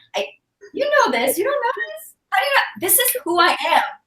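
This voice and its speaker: In a French accent, a woman speaks with a bright, sharp tone. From Belgium. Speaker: guest. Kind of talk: casual chat.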